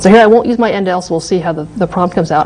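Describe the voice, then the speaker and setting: A woman's fairly low voice at a very fast pace, with ordinary pitch variation and noticeable background noise. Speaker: university lecturer. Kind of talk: lecture.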